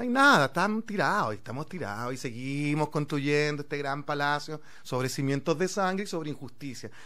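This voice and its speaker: A man with a Chilean accent speaks fairly quickly at a fairly high pitch, his bright, sharp tone carrying lively intonation with hardly any pauses over a quiet background. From Chile, Santiago (Conchalí). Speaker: actor; guest actor. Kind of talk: casual chat; interview answer. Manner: halting. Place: studio. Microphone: studio mic.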